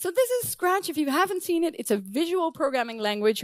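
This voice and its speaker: Very clean recording with a silent background and a non-native accent. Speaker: professor. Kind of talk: conference talk.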